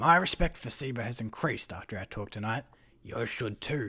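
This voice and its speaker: A man's raspy, put-on character voice at medium pitch and a moderate pace, on a very clean recording with a silent background. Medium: read story. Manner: confident, commanding.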